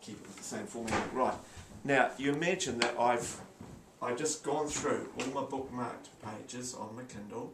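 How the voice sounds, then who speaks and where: Over noticeable background noise, a man's voice shows big swings in loudness. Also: ordinary pitch variation, moderate pace. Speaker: tech demonstrator; teacher. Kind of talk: tutorial. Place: office. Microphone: phone near.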